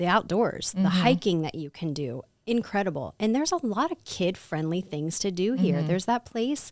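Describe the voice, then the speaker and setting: Speaking with lively intonation, a woman talks in a Midwestern American accent. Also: very clean recording, silent background. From Ohio. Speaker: Pilates teacher. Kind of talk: podcast interview answer. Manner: casual, upbeat.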